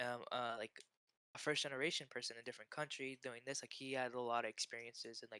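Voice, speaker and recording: A man with an American accent at a very fast pace, bright and sharp in tone, with monotone, flat intonation and a dry, close sound with no echo. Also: medium pitch for a man. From US, Pakistani family. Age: young. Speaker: aspiring nurse. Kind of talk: casual chat. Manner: fast, filler-heavy.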